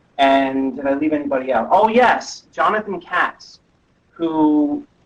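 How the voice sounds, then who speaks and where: A man's fairly high-pitched voice with lively intonation. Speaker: metal musician. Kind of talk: interview. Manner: loud; animated. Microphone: sensitive laptop microphone.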